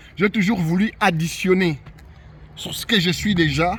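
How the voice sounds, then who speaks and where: Talking at a moderate pace, a man has a high pitch and ordinary pitch variation. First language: not French (speaking French). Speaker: YouTuber sharing immigration experience. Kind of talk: personal monologue to camera. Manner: many repetitions and false starts.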